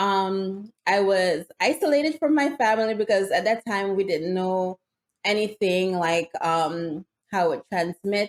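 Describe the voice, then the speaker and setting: With a Jamaican accent, a medium-pitched woman speaks fairly slowly with lively intonation, in a dry, close sound with no echo. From Jamaica, rural Hanover Parish. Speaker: nurse and vegan juicing content creator. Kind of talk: interview conversation.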